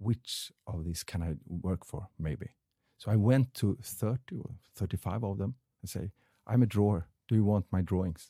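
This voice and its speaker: A man with a Swedish accent speaks at a moderate pace in a fairly low pitch, his dark, mellow tone somewhat breathy, with a dry, close sound with no echo on a very clean recording with a silent background. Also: ordinary pitch variation. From Sweden, Stockholm suburb. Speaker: artist. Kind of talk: casual chat. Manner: halting.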